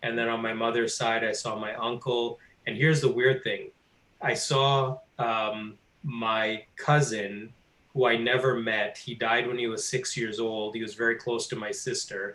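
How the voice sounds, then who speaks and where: A man speaks fairly slowly at a medium pitch, his bright, sharp tone delivered in a monotone, flat way. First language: not English. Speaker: course student. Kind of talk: testimony.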